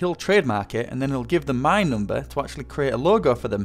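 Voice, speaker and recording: Noticeable background noise sits behind a man whose pitch swings very widely. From North Yorkshire, northeast England. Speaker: gaming YouTuber. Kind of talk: casual Q&A talking to viewers.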